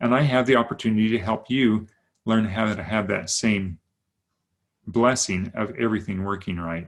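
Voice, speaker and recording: On a very clean recording with a silent background, a man with a fairly low voice, an ordinary speaking voice, talks at a moderate pace with ordinary pitch variation. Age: 60s. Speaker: wellness coach. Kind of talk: sales pitch.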